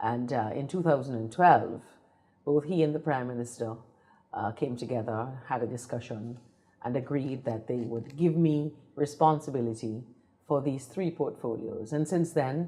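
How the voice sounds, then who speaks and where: In an Antiguan accent, a woman speaks with a very deep, low pitch, a dark, mellow tone and ordinary pitch variation. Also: moderate pace. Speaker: politician. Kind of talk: political interview. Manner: formal.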